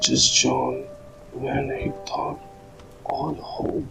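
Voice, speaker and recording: A soft-spoken man whispering at a very slow pace, with music in the background. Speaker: ASMR storyteller. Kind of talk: whispered sleep story. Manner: whispered, soft-spoken.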